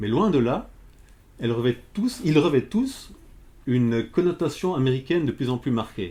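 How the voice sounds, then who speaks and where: The speaker's dark, mellow, somewhat breathy voice moves at a moderate pace with lively intonation. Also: man. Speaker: essayist, author. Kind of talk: lecture. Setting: bookshop, talk with audience. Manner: hesitant, many filler sounds.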